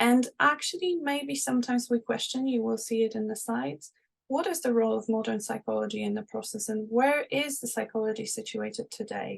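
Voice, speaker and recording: Speaking at a fairly quick pace, a woman talks with hardly any pauses. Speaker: seminar presenter on liberation psychology. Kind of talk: lecture. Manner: fast.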